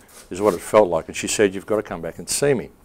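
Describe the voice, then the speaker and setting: Speaking in an Australian accent, a man uses a fairly low voice. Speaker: author, filmmaker and radio host. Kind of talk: public talk. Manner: calm.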